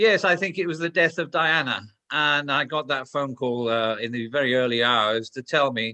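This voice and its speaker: A man with a Welsh accent speaks at a moderate pace. His voice sits fairly high, with ordinary pitch variation. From Wales. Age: 60s. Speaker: former police commander and security expert. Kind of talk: interview. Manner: blunt, straight talking.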